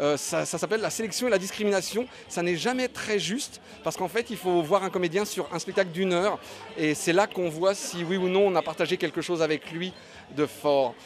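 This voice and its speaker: Music plays behind a man with a Belgian accent who talks fairly quickly at a high pitch with ordinary pitch variation. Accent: Belgian-sounding. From Paris, France. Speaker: stand-up comedian. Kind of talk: interview. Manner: hesitant, many euhs.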